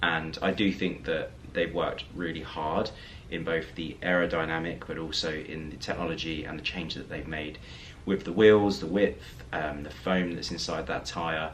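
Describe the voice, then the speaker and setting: With audible room echo and noticeable background noise, a man speaks at a moderate pace in a very deep, low pitch with fairly even intonation. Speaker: lifestyle vlogger. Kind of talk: casual vlog talk to camera. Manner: hesitant with fillers.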